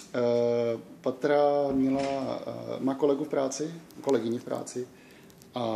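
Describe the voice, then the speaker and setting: Moderately paced speech from a man, intonation fairly even. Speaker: vlogger. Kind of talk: casual vlog chat. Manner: halting.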